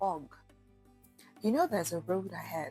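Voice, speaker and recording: With music playing in the background, a woman speaks at a medium pitch and moderate pace. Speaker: voice-over artist and radio/TV host. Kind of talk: faith encouragement message to camera.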